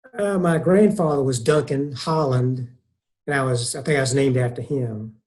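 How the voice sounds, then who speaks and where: Somewhat breathy, a man speaks at a moderate pace, his fairly high pitch showing ordinary variation. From US South, Columbia, South Carolina. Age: 60s. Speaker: retired pastor. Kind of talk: casual interview.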